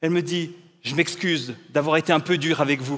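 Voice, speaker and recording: A man speaks in an unremarkable speaking voice at a moderate pace, fairly high-pitched with fairly even intonation, on a very clean recording with a silent background. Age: 40s. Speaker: pastor. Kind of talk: inspirational talk.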